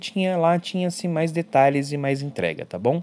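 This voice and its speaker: At a moderate pace, the speaker talks in a Brazilian accent against a quiet background. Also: man. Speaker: podcast host reviewing films and series. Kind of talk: casual solo review podcast. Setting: at mother's house in the countryside.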